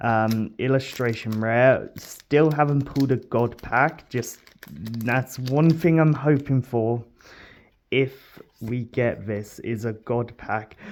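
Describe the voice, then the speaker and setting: The pace is very slow. The words come out mumbled. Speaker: card-opening YouTuber. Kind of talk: unboxing video commentary. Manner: mumbling; low energy, halting.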